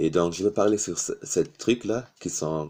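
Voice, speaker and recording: A man's very deep, low voice with a dark, mellow tone, ordinary pitch variation and a non-native accent. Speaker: YouTuber. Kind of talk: motivational talk to camera. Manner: halting, with hesitations.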